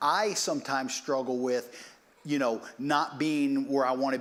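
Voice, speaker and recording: An unremarkable speaking voice belongs to a man with fairly high pitch. He speaks at a moderate pace with ordinary pitch variation. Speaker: preacher. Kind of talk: sermon.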